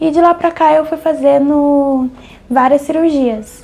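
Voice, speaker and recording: Her voice is high-pitched and breathy. Noticeable background noise runs behind the woman. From Brazil, São Paulo area. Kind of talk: testimony. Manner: breathy, speaks while breathing.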